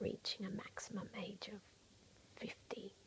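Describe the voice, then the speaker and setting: This soft-spoken voice has a calm tone. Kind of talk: ASMR soft-spoken ramble to camera, calming. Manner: soft-spoken, calm, reassuring.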